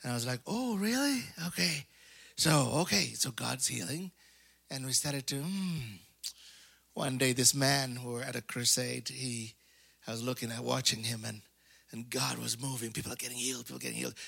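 A man with a bright, sharp tone speaks at a moderate pace with ordinary pitch variation and long, frequent pauses, on a very clean recording with a silent background. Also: medium pitch for a man. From Africa. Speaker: preacher. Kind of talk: sermon. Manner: animated.

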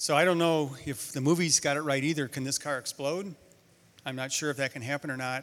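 Heard in a very clean recording with a silent background, a man with a normal speaking voice speaks at a moderate pace, his pitch fairly high and his intonation fairly even. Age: 60s. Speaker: guest preacher. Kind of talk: sermon. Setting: church. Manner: conversational.

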